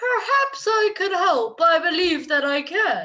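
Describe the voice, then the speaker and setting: Using a squeaky, put-on character voice, a woman speaks at a fairly slow pace. Her pitch is extremely high with very wide swings. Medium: read story.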